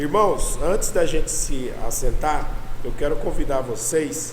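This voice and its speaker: Against noticeable background noise and audible room echo, a man talks at a very slow pace. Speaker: pastor. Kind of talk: sermon.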